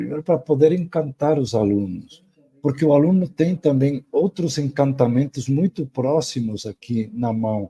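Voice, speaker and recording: This man's fairly high, somewhat breathy voice has a dark, mellow tone and lively intonation, moving at a fairly slow pace in a dry, close sound with no echo. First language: Spanish (speaking Portuguese). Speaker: professor. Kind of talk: lecture. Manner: halting, with repetitions and fillers.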